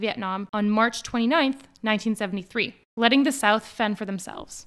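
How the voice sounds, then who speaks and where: A normal speaking voice, fairly quick, with ordinary variation in pitch. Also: woman. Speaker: podcast host. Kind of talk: history documentary narration, scripted and read aloud.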